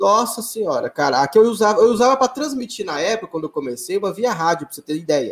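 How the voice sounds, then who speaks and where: A man's high-pitched voice at a very fast pace, with very wide pitch swings and hardly any pauses. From Brazil, Belo Horizonte. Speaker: sim racing league organizer and streamer. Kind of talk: casual interview.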